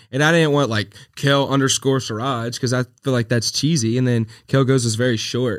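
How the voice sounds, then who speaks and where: In a very clean recording with a silent background, a man with a Southern US accent speaks at medium pitch and a moderate pace, with very even loudness, fairly even intonation and hardly any pauses. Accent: Southern US, country. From Louisiana. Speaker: social media creator. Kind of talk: casual chat.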